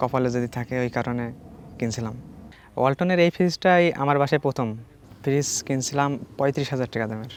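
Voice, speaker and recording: With pitch that shifts in an ordinary way, a man talks in a medium register. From Bangladesh, Meherpur district. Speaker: college student, prize winner. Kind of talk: interview testimony.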